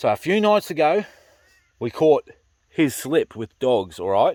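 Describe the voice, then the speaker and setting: A man with a strong Australian accent and a fairly high pitch, at a moderate pace, in a dry, close sound with no echo. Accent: broad Australian. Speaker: pig hunter and farmer. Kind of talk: casual vlog commentary. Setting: in a car on a farm.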